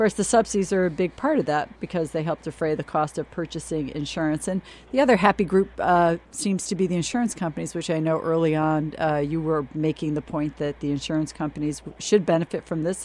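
Moving at a fairly quick pace, an unremarkable speaking voice carries the clip. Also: woman. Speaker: radio show co-host. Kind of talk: radio interview show.

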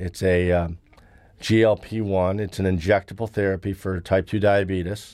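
A man's very deep, low voice in a monotone, flat intonation. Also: very clean recording, silent background. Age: 40s. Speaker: investment newsletter publisher. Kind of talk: radio interview. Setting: studio.

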